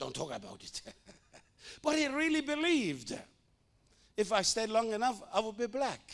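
The intonation is lively. Long pauses come often. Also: man, extremely high pitch for a man, moderate pace. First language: not English. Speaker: missionary preacher. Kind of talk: sermon. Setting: church with audience. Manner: halting.

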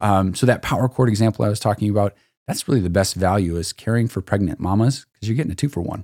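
In a very clean recording with a silent background, a man with a Midwestern American accent talks very fast in a fairly low, dark, mellow voice with ordinary pitch variation and a dry, close sound with no echo. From northern Illinois, Sauk Valley. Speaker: chiropractor. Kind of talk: casual chat.

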